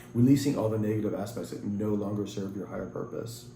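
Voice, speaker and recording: With a dark, mellow tone and vocal fry, the speaker goes at a very fast pace with fairly even intonation, and room echo is audible. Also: man. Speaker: tarot reader. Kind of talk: tarot reading.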